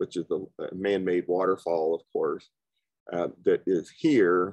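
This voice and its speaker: Fairly slow male speech over a quiet background. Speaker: presenter. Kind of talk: lecture. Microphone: video call.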